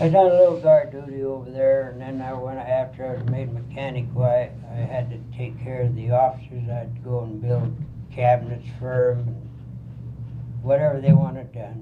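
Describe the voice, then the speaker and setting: A man with an American accent and a medium pitch, somewhat breathy, with a dark, mellow tone, fairly even intonation, a moderate pace, and audible room echo. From Colorado. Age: 70s. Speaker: war veteran. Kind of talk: oral history interview.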